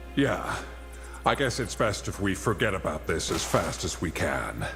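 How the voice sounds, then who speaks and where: A man's put-on character voice, very deep and low, with clear music in the background. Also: moderate pace. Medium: video game. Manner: hesitant.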